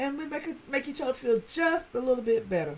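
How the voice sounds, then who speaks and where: A woman speaks with a Southern US accent in an animated tone with lively intonation. The recording is very clean, with a silent background. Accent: Southern US, country. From South Carolina. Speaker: podcast host. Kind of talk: casual monologue.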